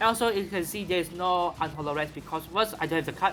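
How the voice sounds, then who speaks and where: A man with a Malaysian accent at a very fast pace, ordinary pitch variation, music in the background. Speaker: card game content creator. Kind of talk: tutorial. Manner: halting, with fillers and repeats.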